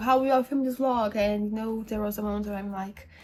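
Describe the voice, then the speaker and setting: A woman's voice over noticeable background noise. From Brazil. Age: 20s. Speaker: book YouTuber. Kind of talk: casual vlog talk to camera.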